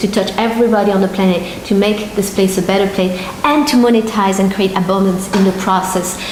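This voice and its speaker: A woman speaks at a fairly quick pace with fairly even intonation. There is audible room echo and noticeable background noise. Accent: French. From France. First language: French. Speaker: marketing entrepreneur. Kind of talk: promotional pitch. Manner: halting.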